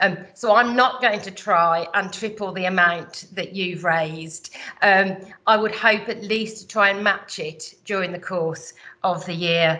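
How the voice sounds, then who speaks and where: A woman's bright, sharp tone at medium pitch, in a West Midlands accent, with fairly even intonation and a fairly slow pace. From West Midlands, England. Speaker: business chief executive, incoming chamber president. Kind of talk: formal address at annual general meeting. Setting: virtual online meeting. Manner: hesitant, many filler words.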